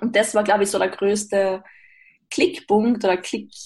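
Fairly high in pitch, a woman's voice comes across as somewhat breathy. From Austria. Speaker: mental coach and podcaster. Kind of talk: interview.

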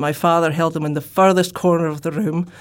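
With a Shetland accent, a woman speaks in a very deep, low pitch and a monotone, flat intonation. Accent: Scottish (Shetland). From Scotland, Shetland. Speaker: professor. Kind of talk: interview.

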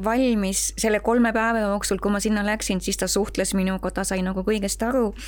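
The intonation is monotone and flat, with very even loudness. Noticeable background noise sits behind the voice. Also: woman. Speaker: home caregiver. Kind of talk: casual chat.

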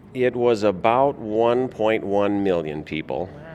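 A man with an Upper Midwest US accent and lively intonation. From Minnesota, St. Paul. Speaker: state fair general manager. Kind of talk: interview. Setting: convention booth.

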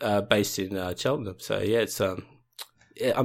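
With fairly even intonation, a man in an Australian accent talks at a very fast pace and a fairly low pitch. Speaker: listener and instructional video maker. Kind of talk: casual chat. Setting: video call.

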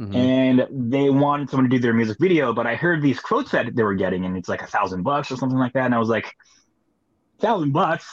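A man talks at a very fast pace, with a medium pitch and lively intonation. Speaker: touring musician. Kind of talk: casual chat.

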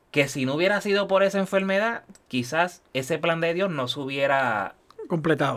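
An unremarkable speaking voice of a man, fairly high in pitch, quick-paced and lively in intonation. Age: 40s. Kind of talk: testimony.

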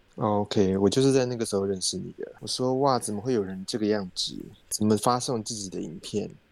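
A man talks at a fairly quick pace and fairly low pitch. He has an unremarkable speaking voice with ordinary pitch variation. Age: 30s. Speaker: podcast host. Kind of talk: casual chat.

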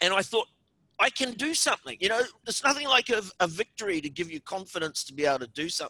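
A man's high-pitched, raised, projected voice races at a very fast pace with very wide pitch swings and a bright, sharp tone, recorded dry and close with no echo. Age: 50s. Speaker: environmental activist and writer. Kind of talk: interview conversation.

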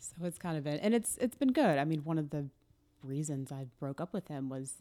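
Very clean and silent in the background, with a dry, close sound and no echo, a woman with an American accent speaks at a fairly quick pace in a dark, mellow tone and a very deep, low pitch. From US South, Atlanta. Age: 30s. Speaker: comedian. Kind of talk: casual chat.

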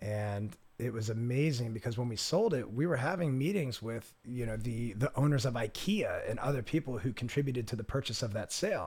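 This man has a medium-pitched, somewhat breathy voice with an American accent and ordinary pitch variation. He talks at a fairly quick pace on a very clean recording with a silent background. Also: hardly any pauses. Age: 30s. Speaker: entrepreneur and skydiver. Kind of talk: casual chat.

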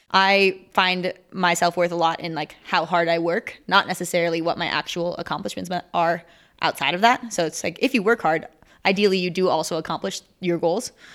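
A woman with an American accent speaks at a fairly quick pace in a fairly low pitch and fairly even intonation, a plain, everyday voice on a very clean recording with a silent background. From Minnesota. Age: 20s. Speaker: Olympic sport climber. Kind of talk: interview.

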